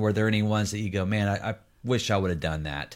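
This man has a plain, everyday voice, fairly low in pitch, and he speaks at a fairly quick pace. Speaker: podcast co-host. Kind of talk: casual live interview. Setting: video call, live stream.

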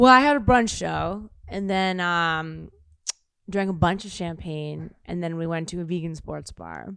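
In an American accent, a woman with a plain, everyday voice talks at a fairly slow pace in a fairly low pitch, with ordinary pitch variation and big swings in loudness. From US Midwest, Kansas City. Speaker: actor and comedian. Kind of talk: casual chat.

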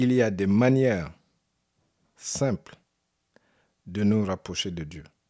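A man speaks at a very slow pace in a fairly low, dark, mellow voice, pausing long and often. His loudness swings widely while his pitch varies in an ordinary way. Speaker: preacher. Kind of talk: sermon. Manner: earnest, exhortative; didactic, conversational.

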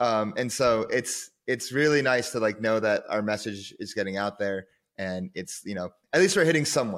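Speaking at a fairly quick pace, a man with a medium pitch uses lively intonation in a very clean recording with a silent background. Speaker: podcast host. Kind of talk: casual interview chat. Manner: animated.

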